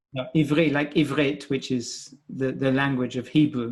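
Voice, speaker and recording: Recorded very cleanly against a silent background, a man speaks with a British accent. His pitch is fairly high, his intonation fairly even, and his pace moderate. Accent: British accent, marked as foreign in France. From Britain. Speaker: scientist and professor. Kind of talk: podcast interview. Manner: halting, many repeated words.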